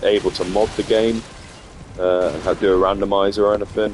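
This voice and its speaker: A man's fairly low, monotone voice with flat intonation at a moderate pace over noticeable background noise. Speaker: gaming streamer. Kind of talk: gameplay commentary. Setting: live stream. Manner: casual, hesitant with fillers.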